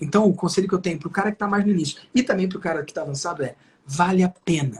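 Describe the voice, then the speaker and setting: Very fast and animated, a man speaks in a high pitch. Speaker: digital marketing entrepreneur. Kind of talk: live interview.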